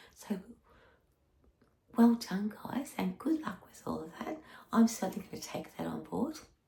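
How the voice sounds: A croaky, put-on character voice at a moderate pace, broken by long, frequent pauses. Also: woman, medium pitch for a woman.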